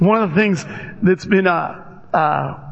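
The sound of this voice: A man's high-pitched voice with vocal fry, ordinary pitch variation and a slow pace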